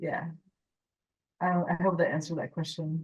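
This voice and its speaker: A woman with an American accent speaks in a fairly low, somewhat breathy voice. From California, Mexican American. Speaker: animation character designer and story artist. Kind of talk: casual Q&A conversation. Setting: club speaker event with live audience. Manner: halting, with filler words.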